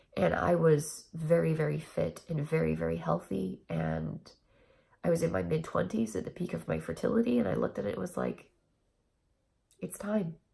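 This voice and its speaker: Very wide pitch swings run through a dark, mellow tone. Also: woman, very deep, low pitch for a woman, moderate pace. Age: 30s. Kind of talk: casual talk to camera.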